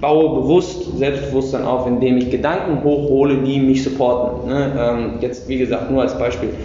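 Amid noticeable background noise and audible room echo, a man at medium pitch speaks at a moderate pace with fairly even intonation and hardly any pauses. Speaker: podcast host. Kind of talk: casual interview. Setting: gym weight room.

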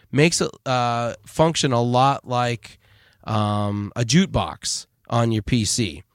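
In a very clean recording with a silent background and a dry, close sound with no echo, a man uses a normal speaking voice at a medium pitch with ordinary pitch variation. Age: 40s. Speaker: podcast host. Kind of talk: casual chat. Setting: virtual studio.

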